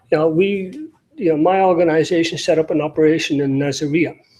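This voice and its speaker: A man with an Irish accent, fairly high pitch, dark, mellow tone, fairly even intonation and a moderate pace. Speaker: NGO security director. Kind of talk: panel talk. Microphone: remote link with audio problems.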